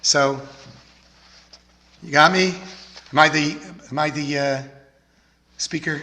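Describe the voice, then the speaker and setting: There is audible room echo as a man with an American accent speaks at a fairly high pitch. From Texas, Houston. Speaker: rabbi. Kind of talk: sermon.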